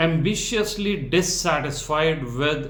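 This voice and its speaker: Ordinary pitch variation marks a man's American accent, with room echo audible. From India. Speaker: founder of a medical residency support organization. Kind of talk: interview.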